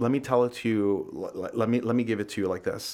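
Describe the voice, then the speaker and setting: A man with a normal speaking voice talks at a moderate pace with a medium pitch and fairly even intonation, on a very clean recording with a silent background. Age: 40s. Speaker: coffee roaster and business owner. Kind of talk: casual chat.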